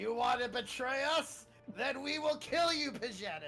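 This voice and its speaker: In a put-on character voice, a man speaks at an extremely high pitch and a moderate pace. Music plays clearly in the background. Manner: threatening, gleeful.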